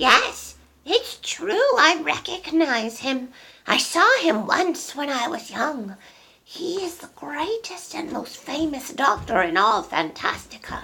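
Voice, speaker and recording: A woman's put-on character voice, high-pitched, with very wide pitch swings, big swings in loudness and a fairly slow pace. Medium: read story.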